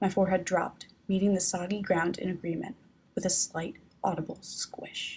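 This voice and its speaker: A woman's somewhat breathy voice comes through at a medium pitch. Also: fairly even intonation, moderate pace. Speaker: author reading her own novel, not a professional narrator. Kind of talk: audiobook narration of a novel chapter.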